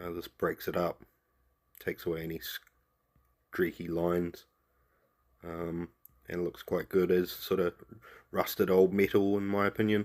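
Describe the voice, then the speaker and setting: A man with a New Zealand accent speaks in a very deep, low pitch with monotone, flat intonation and long, frequent pauses. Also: moderate pace, dry, close sound with no echo. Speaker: miniature painting tutor. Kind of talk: tutorial. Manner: casual.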